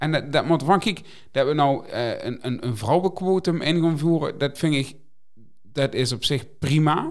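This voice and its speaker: A man with a normal speaking voice, fairly high in pitch, with ordinary pitch variation and a fairly slow pace. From Netherlands. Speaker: podcast co-host. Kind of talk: casual chat.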